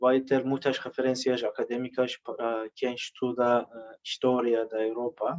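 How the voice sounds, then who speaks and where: A man with a Turkish accent at a fairly slow pace, monotone, flat intonation, and a dry, close sound with no echo. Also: medium pitch for a man. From Turkey. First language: Turkish (speaking Portuguese). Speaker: literary translator. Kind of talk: conference talk. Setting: conference. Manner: halting, many fillers.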